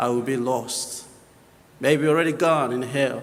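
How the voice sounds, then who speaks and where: With audible room echo, a man in a Papua New Guinean accent speaks at a very slow pace with fairly even intonation. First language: local Papua New Guinea dialect. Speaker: missionary. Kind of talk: missionary presentation in church. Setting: church. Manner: hesitant, many fillers.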